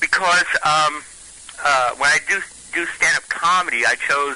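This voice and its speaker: A man's fairly high voice comes through with noticeable background noise behind it. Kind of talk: phone interview. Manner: halting.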